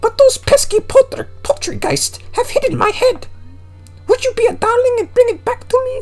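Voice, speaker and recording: Put-on character voice amid clear background noise. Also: moderate pace. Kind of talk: posh, theatrical.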